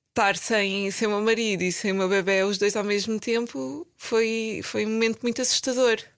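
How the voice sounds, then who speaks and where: Against a silent background in a very clean recording, a woman uses a normal speaking voice at medium pitch, with ordinary pitch variation, a moderate pace and very even loudness. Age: 30s. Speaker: medical advisor in pharma. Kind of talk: casual chat.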